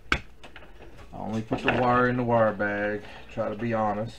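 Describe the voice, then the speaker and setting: A man talks in a monotone, flat intonation while noticeable noise fills the background. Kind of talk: tutorial. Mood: relaxed, chatty. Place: workshop.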